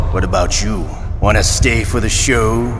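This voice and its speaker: A man puts on a character voice while loud background noise plays. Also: moderate pace. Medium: machinima. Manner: sneering, playful cruelty.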